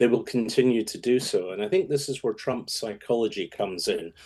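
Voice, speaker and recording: This is a man speaking with a Scottish accent. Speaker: political strategist. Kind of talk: radio interview.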